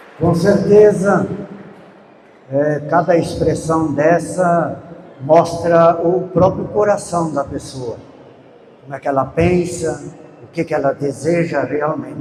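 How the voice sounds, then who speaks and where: With noticeable background noise behind him, a man talks at a very slow pace with long, frequent pauses, a high pitch and ordinary pitch variation. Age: 80s+. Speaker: veteran rural movement leader, speaker. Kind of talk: talk at a public event.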